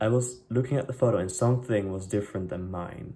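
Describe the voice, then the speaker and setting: Here a man speaks with a non-native accent at a fairly low pitch. His tone is dark and mellow, his intonation fairly even. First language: not English. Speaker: DIY sewing vlogger. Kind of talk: tutorial vlog. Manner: casual, hesitant with many fillers.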